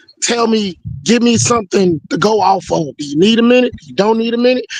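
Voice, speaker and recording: This man's high voice has very wide pitch swings and a fairly quick pace. The sound is dry and close, with no echo. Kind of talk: casual chat. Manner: animated.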